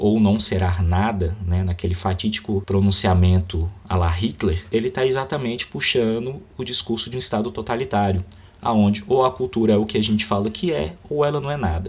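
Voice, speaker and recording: Over noticeable background noise, a man speaks at a moderate pace in a fairly low voice with ordinary pitch variation. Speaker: book commentator, writer. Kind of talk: book review monologue, unscripted. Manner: halting; animated.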